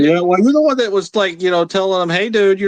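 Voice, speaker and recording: In a dry, close sound with no echo, a man with an American accent and a high voice talks at a very fast pace with ordinary pitch variation. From United States. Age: 40s. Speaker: livestream panel guest. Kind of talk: casual chat.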